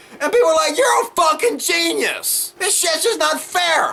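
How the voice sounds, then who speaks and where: A man with an American accent projects a raised, extremely high voice at a fairly quick pace over noticeable background noise. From US South. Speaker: political commentator. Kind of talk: rant. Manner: animated.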